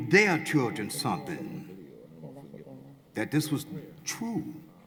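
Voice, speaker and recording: A man talks at a fairly slow pace with vocal fry. His pitch is fairly high. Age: 60s. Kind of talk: public comment at community hearing. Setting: public hearing in a field house.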